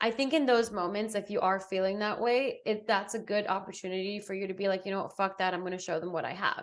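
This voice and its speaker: With an American accent, a woman at medium pitch speaks very fast with fairly even intonation and hardly any pauses. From Botswana and England. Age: 30s. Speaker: podcast co-host. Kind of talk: casual chat.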